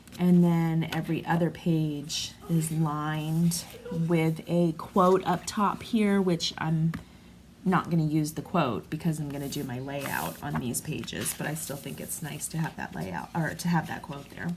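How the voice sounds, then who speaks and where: A woman with a very deep, low pitch talks at a fairly slow pace over noticeable background noise. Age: 40s. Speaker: craft vlogger. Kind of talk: tutorial. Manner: casual, hesitant with fillers.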